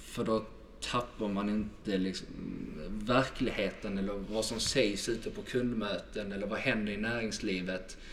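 A man's fairly low, monotone voice with flat intonation, in a Scanian accent, at a fairly slow pace, with audible room echo. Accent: southern Swedish (Skåne). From southern Sweden, Helsingborg (Skåne). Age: 20s. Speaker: sales manager. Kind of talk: podcast interview.

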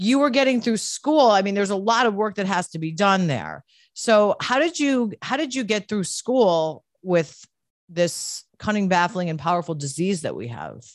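A woman speaks at a medium pitch and a moderate pace. Her tone is animated, with very wide pitch swings. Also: quiet background. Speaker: podcast host. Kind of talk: casual chat.

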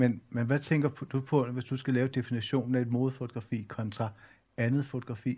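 Against a silent background in a very clean recording, a man with a dark, mellow tone and medium pitch talks at a moderate pace, somewhat breathy, in a monotone, flat intonation. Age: 40s. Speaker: journalist and culture editor. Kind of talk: public talk on stage.

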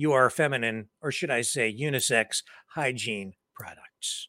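The man's tone is bright and sharp. He talks at a fairly slow pace. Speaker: talk show host. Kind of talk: news commentary and interview.

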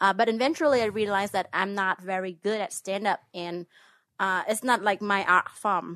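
A woman with a Vietnamese accent speaks at a moderate pace and medium pitch, her bright, sharp tone showing ordinary pitch variation in a dry, close sound with no echo over a quiet background. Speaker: host's ex-wife. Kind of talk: casual chat. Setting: home recording in a bedroom. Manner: put-on radio voice.

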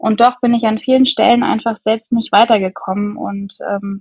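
The pace is fairly slow. The voice sounds somewhat breathy. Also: woman. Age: 30s. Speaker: podcast guest, mother and coaching client. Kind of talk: casual interview.

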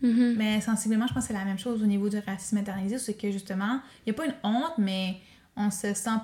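Her voice is dark and mellow, somewhat breathy, medium in pitch, and this woman keeps a fairly even intonation. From Quebec North Shore (Pessamit Innu community). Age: 20s. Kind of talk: interview conversation.

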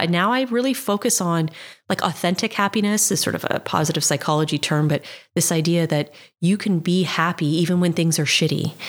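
Pitched fairly low, a woman uses a normal speaking voice with ordinary pitch variation at a moderate pace. Her loudness stays very even on a very clean recording with a silent background. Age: 40s. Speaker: life coach and podcaster. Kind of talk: interview.

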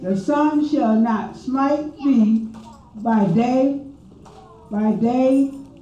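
A woman's fairly high, lively voice at a very slow pace, with noticeable background noise. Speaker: churchgoer reading scripture. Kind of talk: reading aloud. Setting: church service.

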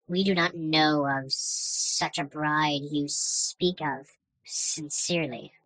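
A put-on character voice at a middle pitch. It moves at a very slow pace. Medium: actual play. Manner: meek, overly polite.

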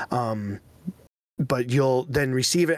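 A man with a plain, everyday voice talks fairly slowly at a fairly high pitch with ordinary pitch variation, the sound dry and close with no echo. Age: 30s. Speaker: podcast co-host. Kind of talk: casual chat.

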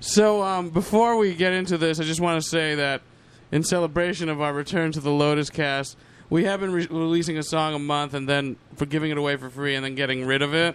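This man has an ordinary speaking voice, fairly high in pitch with ordinary variation, and he talks at a fairly quick pace. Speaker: guest. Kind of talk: casual chat.

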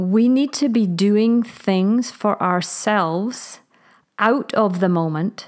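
On a very clean recording with a silent background, a woman uses an ordinary speaking voice at medium pitch. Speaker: parenting coach. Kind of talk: casual chat.

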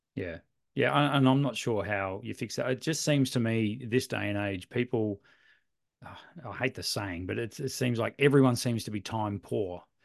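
Speaking at a moderate pace in a medium pitch, a man with an Australian accent shows ordinary pitch variation against a quiet background. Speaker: photography podcast co-host, camera shop owner. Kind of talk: casual chat.

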